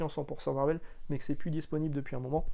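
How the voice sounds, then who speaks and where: A man speaks at a fairly high pitch with ordinary pitch variation. His tone is dark and mellow. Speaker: comics YouTuber. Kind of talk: casual video monologue. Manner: fast; hesitant, many fillers.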